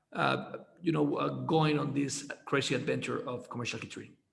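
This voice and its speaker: Audible room echo is present. A man's voice is what we hear. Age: 30s. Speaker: podcast host. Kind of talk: casual interview. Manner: halting, many repeated words.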